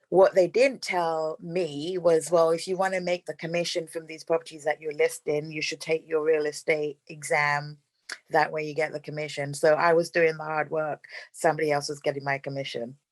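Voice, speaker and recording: This woman has a very deep, low pitch and a London accent, speaking at a moderate pace in a monotone, flat intonation. The sound is dry and close, with no echo. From London, England. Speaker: real estate investor. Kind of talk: interview.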